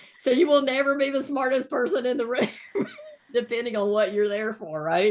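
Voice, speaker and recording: Over noticeable background noise, a woman speaks fairly quickly in a high voice with lively intonation. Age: 60s. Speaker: podcast host and veterinary practice consultant. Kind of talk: casual interview chat.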